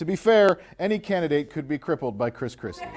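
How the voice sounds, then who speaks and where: The intonation is lively. The pace is fairly quick. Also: man. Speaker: mock news anchor. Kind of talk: comedic news commentary. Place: home room.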